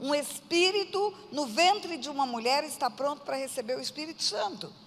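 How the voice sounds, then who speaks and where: Noticeable background noise under a woman's lively intonation. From Brazil, Mato Grosso do Sul (Aquidauana). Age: 60s. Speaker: pastor. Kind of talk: testimony.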